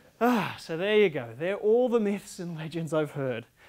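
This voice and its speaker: This man has a high-pitched voice. He speaks with an Australian accent. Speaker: public speaking contest winner. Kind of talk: humorous contest speech. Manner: animated.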